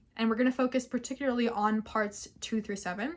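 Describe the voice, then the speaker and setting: Somewhat breathy and fairly high, a woman's voice moves at a fairly quick pace with ordinary pitch variation. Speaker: law student teaching assistant. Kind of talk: lecture. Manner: fast; casual.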